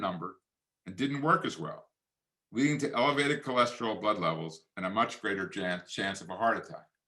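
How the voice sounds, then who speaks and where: Talking at a very fast pace, a man with a Philadelphia accent has a bright, sharp tone. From Philadelphia area, Pennsylvania. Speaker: physician and author. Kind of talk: lecture. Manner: formal.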